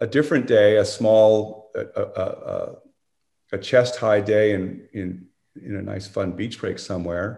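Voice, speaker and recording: A man speaks with a fairly low pitch. His voice is somewhat breathy. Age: 60s. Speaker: surfing historian. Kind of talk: casual chat. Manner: halting.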